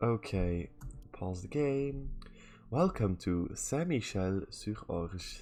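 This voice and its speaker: A man's fairly low-pitched voice. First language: Dutch. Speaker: video game streamer. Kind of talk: live gameplay stream commentary. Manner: casual, thinking aloud with fillers.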